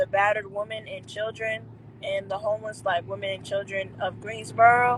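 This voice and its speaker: In an American accent, a woman talks at a moderate pace with a fairly high pitch. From North Carolina, Jacksonville. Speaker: indie singer. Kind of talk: interview. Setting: live stream video call.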